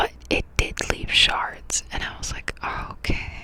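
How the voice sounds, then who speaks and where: Very slowly, a woman whispers. There is noticeable background noise. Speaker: ASMR creator. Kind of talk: ASMR update talk to camera, casual chatty monologue. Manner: whispered, soft-spoken.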